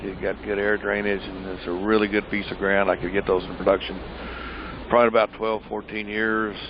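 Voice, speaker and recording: Through noticeable background noise, a man talks at a fairly low pitch and a fairly quick pace. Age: 60s. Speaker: pecan farmer. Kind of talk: interview. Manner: halting.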